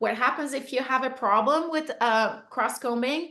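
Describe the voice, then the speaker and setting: A plain, everyday voice, heard over a quiet background, keeps a moderate pace and shows ordinary pitch variation. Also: woman. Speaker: beekeeping instructor. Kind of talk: webinar presentation.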